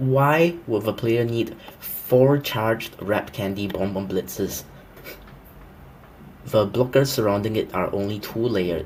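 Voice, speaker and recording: Pausing long and often, a man talks at a fairly slow pace in a medium-pitched voice with ordinary pitch variation over noticeable background noise. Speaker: gaming commentator. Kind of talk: game review commentary. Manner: pitch-shifted voice.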